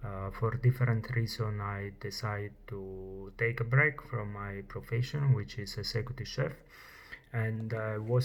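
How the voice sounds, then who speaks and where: A man's somewhat breathy voice, fairly low in pitch, at a fairly slow pace with fairly even intonation. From Italy. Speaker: chef. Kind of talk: personal testimony vlog. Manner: halting, many fillers.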